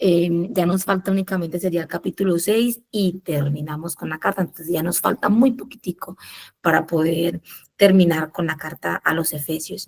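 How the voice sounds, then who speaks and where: Soft-spoken delivery at a moderate pace, with ordinary pitch variation and a dry, close sound with no echo. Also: woman, fairly low pitch for a woman. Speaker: Bible study leader. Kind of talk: Bible study teaching.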